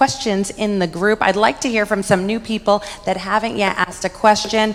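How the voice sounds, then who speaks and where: A woman talks in a fairly high voice while music plays in the background. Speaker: conference moderator. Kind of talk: event moderation. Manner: loud.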